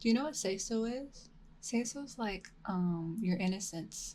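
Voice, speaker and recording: A woman speaks at a fairly slow pace, somewhat breathy, with ordinary pitch variation. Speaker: VTuber ASMR streamer. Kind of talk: casual live-stream chat. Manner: soft-spoken.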